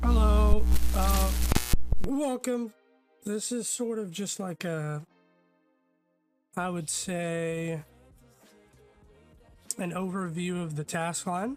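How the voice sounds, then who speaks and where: With music in the background, a man speaks in a high pitch at a very slow pace. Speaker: gaming streamer. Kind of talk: casual game overview talk.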